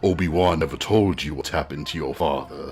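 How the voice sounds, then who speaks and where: A man puts on a character voice with very deep, low pitch and a fairly quick pace over clear background noise. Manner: ominous.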